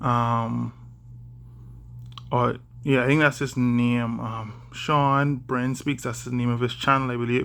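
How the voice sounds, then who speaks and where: With a Bahamian accent, a man of medium pitch speaks in a monotone, flat way at a very slow pace, leaving long, frequent pauses. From Bahamas. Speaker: vlogger. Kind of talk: casual vlog monologue. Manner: deliberately slowed, careful speech; hesitant, many fillers.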